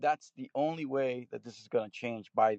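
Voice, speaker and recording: A man speaks in an ordinary speaking voice at a medium pitch and a moderate pace, with a dry, close sound and no echo. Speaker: caller. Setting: phone call.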